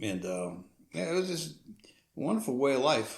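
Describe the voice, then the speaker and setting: This is a man's voice with lively intonation. Room echo can be heard. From New Orleans area, Louisiana (Metairie). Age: 70s. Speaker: parish assessor. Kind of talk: casual chat.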